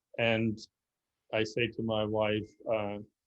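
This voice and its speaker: A man speaks with a German accent. His pitch is medium. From Germany (Berlin). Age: 60s. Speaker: club member presenter on history. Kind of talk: Q&A answer after a history presentation. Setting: video call. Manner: halting, many fillers.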